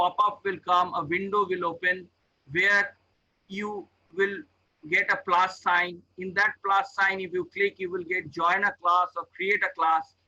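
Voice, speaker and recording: Raised and projected, a man's voice carries a bright, sharp tone, a high pitch and fairly even intonation. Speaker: professor. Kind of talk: tutorial. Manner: slow.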